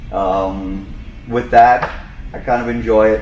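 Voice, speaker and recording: A man with a strong New York accent talks in a fairly even intonation, with audible room echo and noticeable background noise around him. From New York, Long Island. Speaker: boat service manager, retired firefighter. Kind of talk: casual chat.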